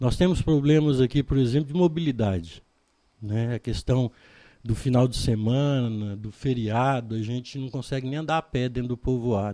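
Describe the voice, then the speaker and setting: A man talks at a moderate pace in a dark, mellow tone. His pitch is medium, with ordinary variation. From Brazil, Goiás (Chapada dos Veadeiros). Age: 60s. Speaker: local politician. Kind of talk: interview.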